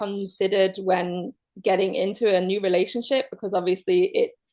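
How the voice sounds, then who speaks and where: A woman speaks in a Manchester accent. Her pace is moderate and her pitch medium. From northern England, Manchester. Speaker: guest sharing relationship story. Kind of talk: personal testimony in an online circle.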